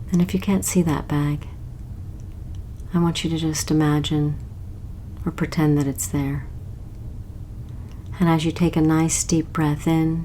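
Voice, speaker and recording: With a very deep, low pitch, a woman talks at a fairly slow pace, with ordinary pitch variation and long, frequent pauses. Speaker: hypnotist. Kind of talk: guided hypnosis meditation. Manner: slow, soft-spoken.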